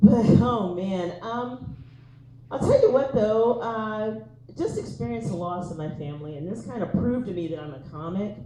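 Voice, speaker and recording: Very wide pitch swings come through amid audible room echo and noticeable background noise. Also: woman, medium pitch for a woman, moderate pace. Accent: American. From East Texas. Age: 40s. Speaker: comedian. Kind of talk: stand-up.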